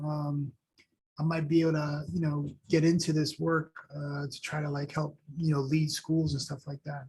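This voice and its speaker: This man talks at a moderate pace with a New York accent. His pitch sits fairly high. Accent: New York American. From New York, Long Island, Haitian family. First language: Haitian Creole and French. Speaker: school superintendent. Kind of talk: podcast interview.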